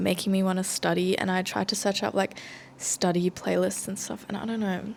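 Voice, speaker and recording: A woman with an Australian accent speaks at a fairly quick pace. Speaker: student vlogger. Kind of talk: casual vlog talk. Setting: library.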